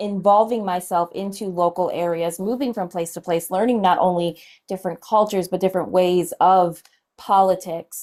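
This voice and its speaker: A woman in a normal speaking voice, medium in pitch, with fairly even intonation at a moderate pace, on a very clean recording with a silent background. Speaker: political activist. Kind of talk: heated debate. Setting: social media live stream.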